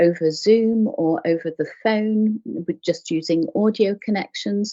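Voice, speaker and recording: The voice has a gentle tone and an English accent. It moves at a fairly slow pace with ordinary pitch variation. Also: woman. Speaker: clinical hypnotherapist. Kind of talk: interview. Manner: animated when passionate.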